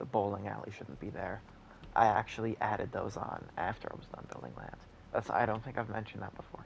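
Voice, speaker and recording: A quiet whisper rushes along at a very fast pace. Noticeable background noise sits behind it. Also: man, big swings in loudness. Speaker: gaming YouTuber. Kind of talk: gameplay commentary. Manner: whispering.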